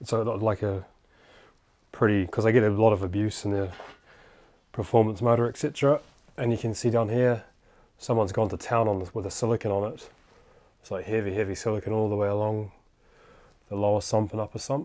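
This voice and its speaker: A man speaks at a fairly quick pace in a fairly low pitch. His tone is dark and mellow, and his intonation fairly even. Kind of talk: casual tutorial commentary. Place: garage. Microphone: phone near.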